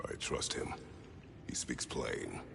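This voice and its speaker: A man performs a cartoonish character voice over loud background noise. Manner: terse, gruff.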